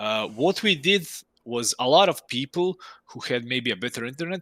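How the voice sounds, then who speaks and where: A man with a Croatian accent speaks at a medium pitch and a moderate pace, his tone bright and sharp and his intonation lively. The very clean recording has a silent background and a dry, close sound with no echo. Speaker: indie game developer. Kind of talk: casual interview chat. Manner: halting, many restarts.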